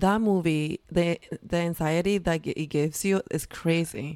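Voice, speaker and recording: A woman speaks in a normal speaking voice. Her pitch is fairly low and her intonation fairly even. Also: dry, close sound with no echo. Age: 30s. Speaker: podcast co-host.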